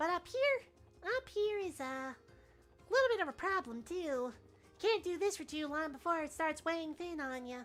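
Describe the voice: Over music in the background, a man in a put-on character voice speaks at a moderate pace in an extremely high, strained pitch.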